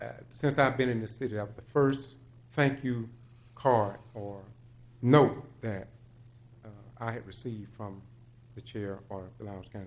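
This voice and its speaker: The intonation is fairly even. A man speaks at a moderate pace. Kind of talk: public comment speech. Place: hall. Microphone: podium.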